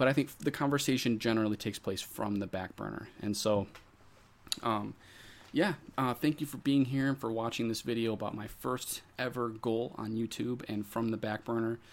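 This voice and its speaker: The man's pitch sits in the medium range, with ordinary variation. He speaks at a moderate pace. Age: 20s. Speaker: YouTuber and accounting tutor. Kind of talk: personal vlog monologue.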